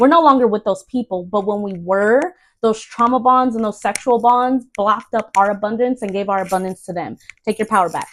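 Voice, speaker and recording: A woman's fairly high voice at a fairly quick pace, with ordinary pitch variation on a very clean recording over a silent background. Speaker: tarot reader. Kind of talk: tarot reading. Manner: fast.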